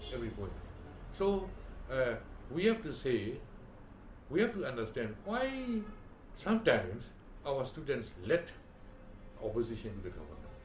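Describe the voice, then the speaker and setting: Speaking at a moderate pace with long, frequent pauses and very wide pitch swings, the voice comes through audible room echo and noticeable background noise. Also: man, fairly high pitch for a man. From Myanmar, Delta region. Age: 80s+. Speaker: former ambassador and educationalist. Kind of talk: oral history interview. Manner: halting, many fillers.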